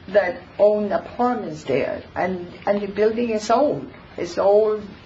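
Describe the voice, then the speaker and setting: A woman at medium pitch, very slow pace and ordinary pitch variation, with audible room echo and noticeable background noise. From born abroad, immigrant to US. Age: 80s+. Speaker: resident speaking at public comment. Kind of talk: public comment at council meeting. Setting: town council meeting with audience. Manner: halting.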